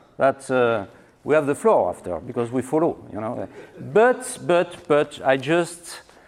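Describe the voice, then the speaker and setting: Speech comes at a fairly slow pace in a French accent. The pitch swings very widely. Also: man, fairly high pitch for a man. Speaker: winery owner. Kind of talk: lecture. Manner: halting, many fillers and repetitions.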